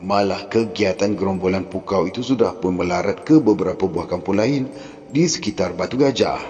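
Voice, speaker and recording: A man with lively intonation at a moderate pace, with music in the background. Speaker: storyteller. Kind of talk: horror novel reading. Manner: emotional.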